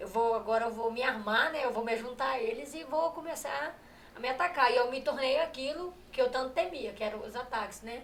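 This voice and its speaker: Amid noticeable background noise and audible room echo, a woman with a high voice speaks at a fairly quick pace with ordinary pitch variation. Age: 30s. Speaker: gospel singer giving testimony. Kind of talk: testimony. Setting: live stream. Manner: halting, repeats words.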